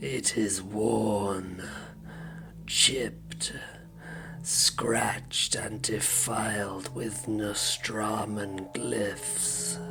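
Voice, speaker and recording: Over loud background noise, a man talks at a very slow pace with a fairly low pitch. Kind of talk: dark war-story audiobook narration. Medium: read story. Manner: grave, brooding, deliberate.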